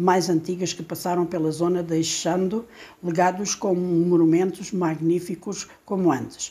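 At a moderate pace, a woman talks with a dark, mellow tone and a fairly low pitch. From Portugal, Alentejo. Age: 60s. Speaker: storyteller. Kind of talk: reading aloud.

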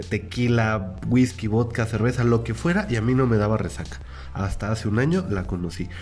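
With audible room echo around him, a man speaks at a moderate pace and fairly low pitch with lively intonation. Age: 20s. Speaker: podcast host. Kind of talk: casual chat.

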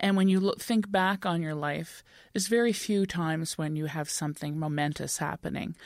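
In a Canadian accent, a normal speaking voice moves at a fairly quick pace with ordinary pitch variation, on a very clean recording with a silent background. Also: woman, fairly low pitch for a woman. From Montreal, Quebec. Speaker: novelist. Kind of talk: interview.

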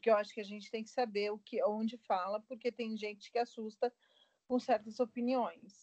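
Her fairly high voice stays monotone and flat as this woman speaks at a moderate pace. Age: 40s. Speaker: aeronautical engineer and catechist. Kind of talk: casual interview chat.

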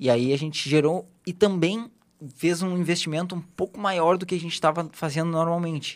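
On a very clean recording with a silent background, a fairly high-pitched man speaks at a moderate pace. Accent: southern Brazilian. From Brazil, Rio Grande do Sul (Porto Alegre). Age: 20s. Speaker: digital marketing specialist. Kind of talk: casual interview.

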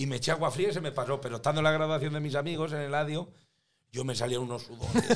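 The words come at a very fast pace in a La Mancha accent. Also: man. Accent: broad local La Mancha speech. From Spain, La Mancha (Tomelloso). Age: 50s. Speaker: comedian and singer. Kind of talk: casual chat.

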